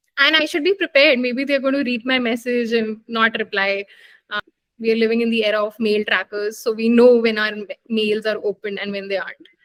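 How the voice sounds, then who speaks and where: The speaker has an Indian accent and a fairly quick pace with ordinary pitch variation. The sound is dry and close, with no echo. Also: woman, fairly high pitch for a woman. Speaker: doctor, medical graduate. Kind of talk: interview. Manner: hesitant fillers.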